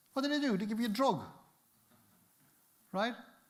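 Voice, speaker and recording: A man talks with a Cork accent. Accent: Cork Irish. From Cork, Ireland. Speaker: adventurer, inspirational speaker. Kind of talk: motivational conference talk.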